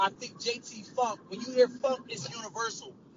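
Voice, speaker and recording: A man's extremely high voice with an American accent at a fairly slow pace, over noticeable background noise. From Trenton, New Jersey. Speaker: professional wrestler. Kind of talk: interview.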